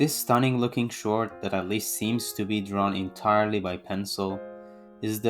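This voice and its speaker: Over music in the background, a voice with a non-native accent speaks at a moderate pace. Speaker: manga reviewer. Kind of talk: video essay review narration.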